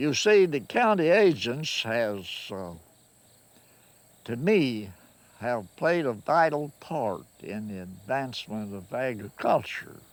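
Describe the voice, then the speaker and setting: A man with a Kentucky accent at a very slow pace, medium in pitch, with very wide pitch swings and big swings in loudness, in a very clean recording with a silent background. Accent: Southern US, Kentucky rural. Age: 80s+. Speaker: farmer. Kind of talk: interview answer.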